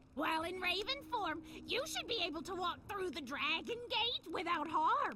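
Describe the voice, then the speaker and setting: An extremely high put-on character voice speaks at a moderate pace. Clear background noise is present. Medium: video game.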